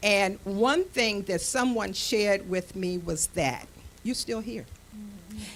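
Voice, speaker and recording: A woman's voice with vocal fry, very slow, with ordinary pitch variation. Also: medium pitch for a woman. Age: 70s. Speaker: panel guest with doctorate. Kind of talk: panel discussion.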